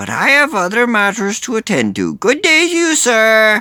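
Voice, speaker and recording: At a moderate pace, a man puts on a character voice pitched high for a man. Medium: read story. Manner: polite, officious.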